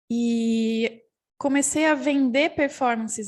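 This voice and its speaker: A woman against a quiet background. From interior of São Paulo state, Brazil. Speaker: theatre professor and performance artist. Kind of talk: panel talk. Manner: halting, with self-corrections.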